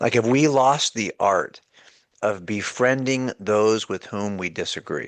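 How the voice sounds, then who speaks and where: Against a quiet background, the speech comes at a fairly slow pace with ordinary pitch variation and a dry, close sound with no echo. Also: man, medium pitch for a man. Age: 60s. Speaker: author and apologist, former law enforcement. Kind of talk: casual chat. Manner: halting, with frequent repetitions.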